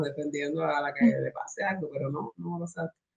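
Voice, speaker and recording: A woman speaks with a very deep, low pitch. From Cuba. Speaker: spoken word artist and activist. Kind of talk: interview answer.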